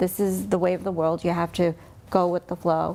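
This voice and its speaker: An ordinary speaking voice at a moderate pace. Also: woman. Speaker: talk show host. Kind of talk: interview questions.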